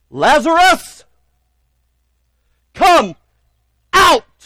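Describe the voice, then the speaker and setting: A loud, put-on character voice from a man, pitched extremely high. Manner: loud, commanding.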